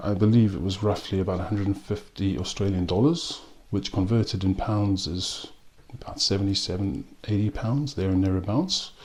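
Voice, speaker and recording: Speaking at a fairly quick pace, a man has a fairly low pitch and ordinary pitch variation. He talks with a South African accent. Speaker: whisky and rum reviewer. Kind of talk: product review. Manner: hesitant, many ums.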